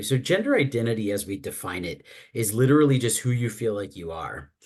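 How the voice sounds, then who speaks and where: Lively intonation marks this man's speech. His pitch is medium and his pace fairly quick. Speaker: healthcare consultant and trainer on transgender care. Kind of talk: webinar presentation. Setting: video call webinar. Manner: fast.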